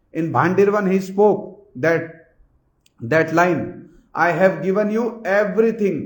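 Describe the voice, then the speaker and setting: Against audible room echo, a man talks at a very slow pace in a high pitch with ordinary pitch variation. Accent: Indian. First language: Hindi. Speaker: spiritual teacher. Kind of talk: religious discourse. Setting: hall with assembled audience. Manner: repetitive, emphatic.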